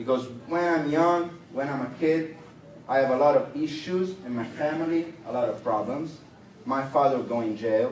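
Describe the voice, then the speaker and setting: Over noticeable background noise and audible room echo, a man with an Italian accent speaks at a moderate pace in a fairly high voice with ordinary pitch variation. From Rome, Italy. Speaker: rapper. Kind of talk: interview. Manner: halting non-native English.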